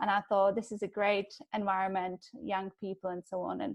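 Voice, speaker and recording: A woman with a Czech accent speaks at a moderate pace and medium pitch, her intonation monotone and flat. The recording is very clean, with a silent background. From Czech Republic. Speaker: digital advertising professional. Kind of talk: panel discussion.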